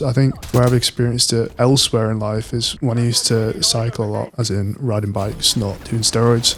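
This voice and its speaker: A man talks at a fairly quick pace in a medium pitch. His intonation stays fairly even over noticeable background noise. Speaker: solo YouTuber. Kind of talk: casual monologue over gameplay. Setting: home desk recording.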